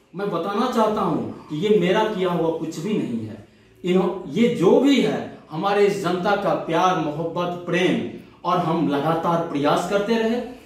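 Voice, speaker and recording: This man has a high voice with ordinary pitch variation. The room echo is audible, and background noise is noticeable. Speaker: ward councillor candidate. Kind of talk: interview.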